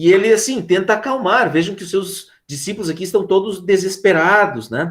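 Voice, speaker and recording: Intonation is lively throughout. The pace is moderate. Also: man. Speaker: philosophy teacher. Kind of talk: online class lecture.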